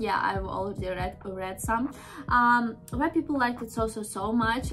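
Clear music plays behind a woman speaking at a moderate pace. Her pitch is fairly high, with ordinary variation. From Russia. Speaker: reaction video host. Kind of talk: casual talk to camera, reaction video. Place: home room.

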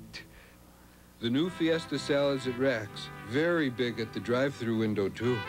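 A man speaks at a moderate pace with long, frequent pauses over music in the background. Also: medium pitch for a man, ordinary pitch variation. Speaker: voice actor. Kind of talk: TV commercial read.

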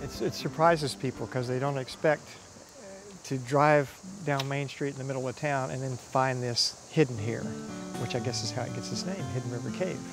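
A man at a moderate pace over clear background music, with a dry sound and no echo. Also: ordinary pitch variation. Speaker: local cave guide. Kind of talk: interview answer. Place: forest.

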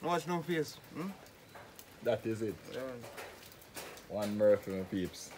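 The pace is very slow, with long, frequent pauses and very wide pitch swings. Noticeable background noise runs underneath. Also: man, medium pitch for a man. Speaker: vlogger and concrete products maker. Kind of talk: casual vlog narration. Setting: outdoors in the rain.

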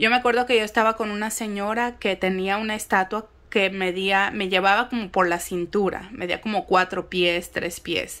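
In a Mexican accent, a woman with a bright, sharp tone talks at a moderate pace with fairly even intonation and hardly any pauses. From Mexico City. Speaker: spiritual content creator. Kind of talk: casual monologue vlog. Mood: calm, reflective. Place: home room. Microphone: phone near.

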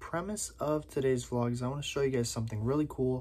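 Somewhat breathy, a man talks with pitch that varies in an ordinary way. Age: 20s. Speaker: YouTube vlogger. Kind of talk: casual vlog to camera. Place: home room. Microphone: phone near.

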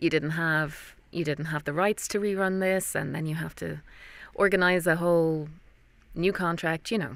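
In an Irish accent, a woman with a fairly low pitch talks at a moderate pace with fairly even intonation, the sound dry with no echo. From Ireland. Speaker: voice actor. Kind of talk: interview answer. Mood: earnest, thoughtful. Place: booth. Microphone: studio mic.

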